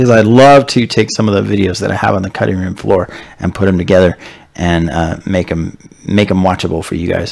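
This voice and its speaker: Here a man speaks at a fairly quick pace over noticeable background noise. His very deep, low voice shows ordinary pitch variation. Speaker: keto health live streamer. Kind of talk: live stream Q&A. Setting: live multistream with calls. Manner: hesitant, many fillers.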